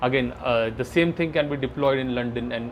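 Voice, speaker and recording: A man in an Indian accent talks at a very fast pace and a medium pitch, with ordinary pitch variation and noticeable background noise. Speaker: AI product manager. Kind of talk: podcast interview. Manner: halting.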